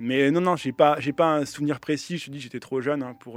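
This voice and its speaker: A man's voice with ordinary pitch variation. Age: 30s. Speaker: DJ and music producer. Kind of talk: radio interview. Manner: hesitant, many fillers.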